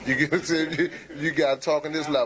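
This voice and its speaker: Noticeable background noise runs under this recording. A man speaks at a fairly high pitch. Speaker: married man in a discussion. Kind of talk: casual group discussion. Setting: barber shop.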